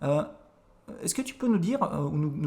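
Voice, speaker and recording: Sitting fairly high for a man, this voice swings very widely in pitch. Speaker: French teacher. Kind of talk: podcast conversation.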